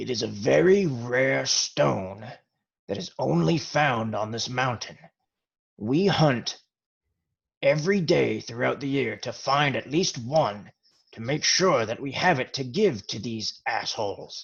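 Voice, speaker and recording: A man's put-on character voice at medium pitch, with very wide pitch swings and a fairly slow pace. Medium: actual play. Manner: blunt, crude.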